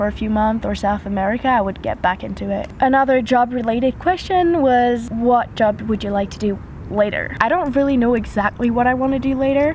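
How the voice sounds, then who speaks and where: Amid noticeable background noise, a woman with a fairly high pitch and ordinary pitch variation speaks at a moderate pace. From French-speaking Switzerland. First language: French. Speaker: YouTuber. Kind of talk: casual Q&A vlog. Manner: hesitant, with fillers.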